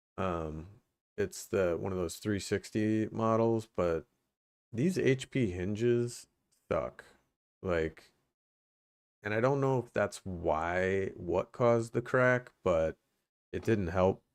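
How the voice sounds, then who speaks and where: Quiet and very slow, a man with a fairly low pitch and ordinary pitch variation speaks with long, frequent pauses. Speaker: tech streamer. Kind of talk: casual livestream chat.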